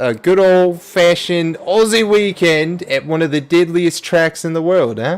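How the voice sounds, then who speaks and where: A man talks at a fairly slow pace, high in pitch with ordinary pitch variation. Noticeable background noise is present. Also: hardly any pauses. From Australia. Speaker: sim racing commentator. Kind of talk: live commentary. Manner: animated.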